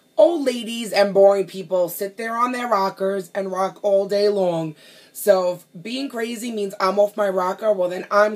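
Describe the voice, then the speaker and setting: A woman with a New York accent talks at medium pitch in an animated tone, with ordinary pitch variation and big swings in loudness. Her pace is moderate with hardly any pauses, over noticeable background noise. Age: 30s. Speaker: pastry chef. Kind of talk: audition video monologue.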